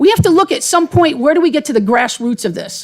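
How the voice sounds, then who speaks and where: Over noticeable background noise, a woman with an American accent talks at a very fast pace with very wide pitch swings. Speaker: resident speaking at public hearing. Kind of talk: public comment at budget hearing. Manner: off the cuff.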